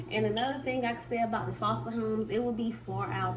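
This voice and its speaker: Audible room echo and noticeable background noise both surround a woman as she talks. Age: 20s. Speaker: YouTuber. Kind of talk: storytime. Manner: casual, with filler words.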